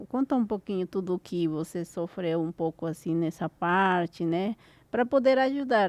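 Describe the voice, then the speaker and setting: Lively intonation comes through from a woman with a Spanish accent, recorded with a dry, close sound and no echo. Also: medium pitch for a woman, moderate pace. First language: Spanish (speaking Portuguese). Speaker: podcast host and e-commerce mentor. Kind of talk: interview conversation.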